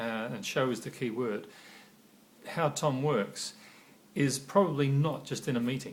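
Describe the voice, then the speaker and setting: Here a man speaks at a fairly high pitch, somewhat breathy. His intonation is lively. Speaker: corporate trainer. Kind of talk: training talk to camera. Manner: halting, frequent pauses and fillers.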